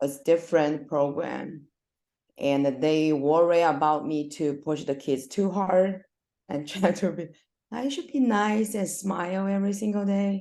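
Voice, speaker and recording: Against a quiet background, a woman with a fairly low pitch talks at a fairly slow pace with ordinary pitch variation. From China. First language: Chinese. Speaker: swim coach, former elite swimmer. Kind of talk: casual interview. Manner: halting.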